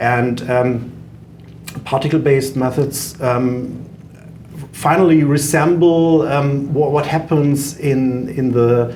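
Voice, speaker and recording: With a German accent, a man with a fairly high pitch speaks very slowly in a fairly even intonation. Noticeable background noise and audible room echo fill the recording. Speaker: software company founder, engineer. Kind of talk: podcast interview. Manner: hesitant, many fillers.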